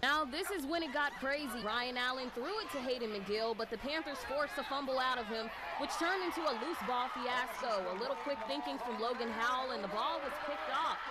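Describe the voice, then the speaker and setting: A woman with a high pitch uses a raised, projected voice at a fairly quick pace with hardly any pauses. Her pitch variation is ordinary, with noticeable background noise behind her. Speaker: sports reporter. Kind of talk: sports news report.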